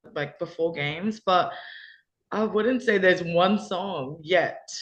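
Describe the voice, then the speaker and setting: A woman's medium-pitched voice with an Australian accent, ordinary pitch variation and a fairly slow pace. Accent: Australian, taken for British by teammates. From Australia, Perth. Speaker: college basketball player. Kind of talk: interview. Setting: video call.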